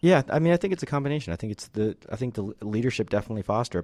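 A man with an American accent and a dark, mellow tone, on a very clean recording with a silent background. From US Northeast. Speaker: finance executive guest. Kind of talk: radio interview.

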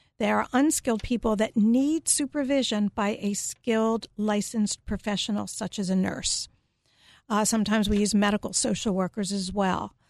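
A woman with a plain, everyday voice and an American accent talks at a moderate pace and fairly high pitch with ordinary pitch variation, the sound dry and close with no echo over a quiet background. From Philadelphia, US. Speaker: psychotherapist and care management business owner. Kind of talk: radio interview. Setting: radio studio.

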